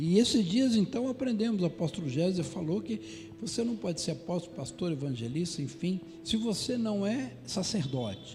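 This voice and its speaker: A man speaks in a high voice with very wide pitch swings. He barely pauses, and there is noticeable background noise. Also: moderate pace. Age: 60s. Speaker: pastor. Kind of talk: sermon. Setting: church.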